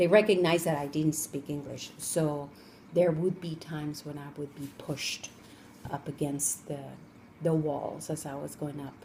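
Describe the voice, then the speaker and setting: A woman with a Spanish accent speaks at a moderate pace with a very deep, low pitch. Her intonation is monotone and flat, while her loudness swings a lot. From Colombia (Cali), moved to Los Angeles as a child. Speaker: interviewee, parent of the student interviewer. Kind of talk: interview.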